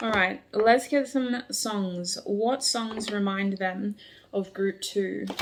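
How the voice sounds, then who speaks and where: A woman's very slow speech with fairly even intonation, over noticeable background noise. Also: medium pitch for a woman. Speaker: tarot reader. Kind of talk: tarot reading. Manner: matter-of-fact.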